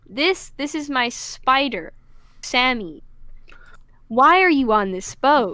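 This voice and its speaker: In a raised, projected voice, a woman speaks at a very slow pace with long, frequent pauses, a high pitch, very wide pitch swings and a bright, sharp tone. Audible room echo fills the recording. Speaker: tabletop roleplaying game player. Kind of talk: casual chat. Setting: live stream.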